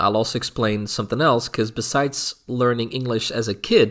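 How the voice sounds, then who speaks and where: A man with a slight Dutch accent speaks at a moderate pace. His medium pitch shows ordinary variation. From Netherlands. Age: adult. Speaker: YouTuber. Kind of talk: casual vlog monologue. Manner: halting, many fillers and repeats.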